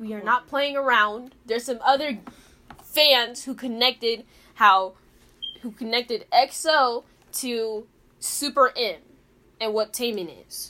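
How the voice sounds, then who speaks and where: Speaking at a fairly slow pace with long, frequent pauses, a woman uses a high pitch, ordinary pitch variation and a bright, sharp tone. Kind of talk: casual chat. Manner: slow, calm.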